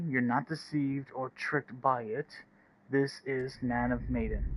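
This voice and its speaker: Speaking fairly slowly, a man keeps a medium pitch and fairly even intonation. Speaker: gaming streamer. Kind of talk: live stream gameplay chat. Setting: home live stream at night. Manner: quiet, not loud; rambling, hesitant with fillers. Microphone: echo.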